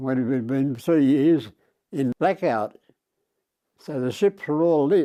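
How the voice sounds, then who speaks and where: Speaking very slowly with long, frequent pauses, a man with an Australian accent has a fairly high pitch, ordinary pitch variation and a dark, mellow tone. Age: 80s+. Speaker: war veteran. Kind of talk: interview answer.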